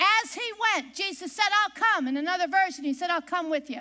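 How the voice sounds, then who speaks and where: A woman speaks in a squeaky, shrill, raised and projected voice with an extremely high pitch, very wide pitch swings and a bright, sharp tone. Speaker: preacher. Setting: church service. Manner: loud.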